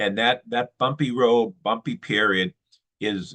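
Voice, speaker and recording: Here a man talks at medium pitch and a moderate pace. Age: 60s. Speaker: Rotary polio committee head, speaker. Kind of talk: talk to an online club meeting. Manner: halting, many repetitions and fillers.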